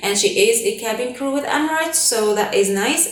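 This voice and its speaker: A woman with a non-native accent speaks at a moderate pace. The recording has audible room echo and noticeable background noise. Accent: non-native English, others laugh at it. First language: not English (Arabic or French). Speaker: flight attendant vlogger. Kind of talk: casual Q&A vlog. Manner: animated.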